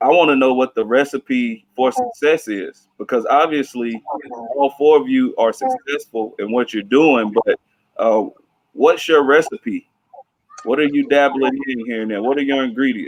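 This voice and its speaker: A man with an ordinary speaking voice and a fairly high pitch talks at a moderate pace with ordinary pitch variation, the sound dry and close with no echo. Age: 30s. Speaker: teacher moderating career panel. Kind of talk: panel moderation.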